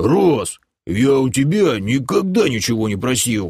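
At a moderate pace and medium pitch, a man performs a put-on character voice.

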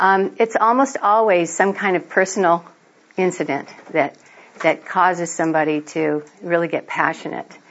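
Pitched fairly low, a woman speaks with ordinary pitch variation. Noticeable background noise is present. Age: 60s. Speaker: registered nurse and medical cannabis activist. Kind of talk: lecture.

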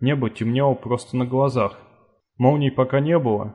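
Fairly even intonation while reading aloud in a natural voice, quiet background

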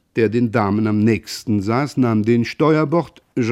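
With ordinary pitch variation, a natural reading voice comes through over a quiet background.

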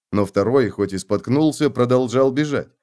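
Someone is doing plain reading aloud.

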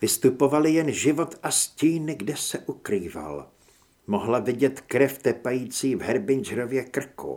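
The reading aloud is done in a natural voice. Pitch moves with ordinary variation.

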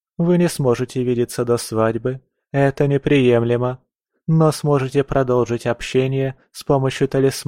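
Quiet surroundings and a natural reading voice, its pitch mostly level

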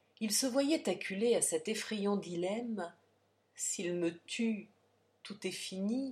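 This is plain reading aloud. Nothing else is noted.

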